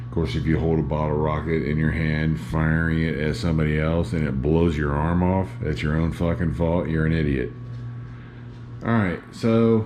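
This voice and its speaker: A man with a very deep, low pitch talks at a moderate pace with lively intonation and very even loudness, amid noticeable background noise and audible room echo. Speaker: YouTuber filming home setup video. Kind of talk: casual vlog talk to camera. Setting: indoors, dim living room of condo. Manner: hesitant with many fillers.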